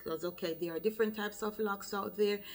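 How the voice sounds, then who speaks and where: A woman with a Jamaican accent talks at a medium pitch, with ordinary pitch variation. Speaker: loctician, hair care vlogger. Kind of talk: tutorial.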